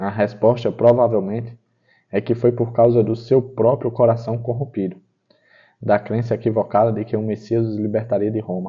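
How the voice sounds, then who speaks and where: A man's somewhat breathy voice at medium pitch, with monotone, flat intonation and a moderate pace. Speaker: Bible study teacher. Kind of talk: guided Bible study.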